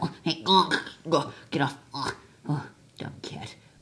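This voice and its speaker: At a fairly slow pace, a man does a cartoonish character voice at a fairly high pitch. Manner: whiny, panicky.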